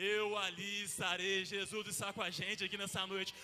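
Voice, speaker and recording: A man with a high pitch speaks in a raised, projected voice with monotone, flat intonation. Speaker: pastor. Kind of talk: sermon. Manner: fast.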